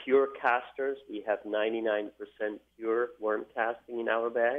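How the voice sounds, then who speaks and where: A man talks at a very slow pace with a Swiss German accent. The background is quiet. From German-speaking Switzerland. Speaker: fertilizer company guest. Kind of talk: radio interview. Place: studio.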